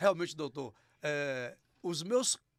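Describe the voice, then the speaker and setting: Very slowly, a man speaks in a high voice that swings very widely in pitch. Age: 60s. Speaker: podcast host. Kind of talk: podcast interview. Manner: casual, colloquial.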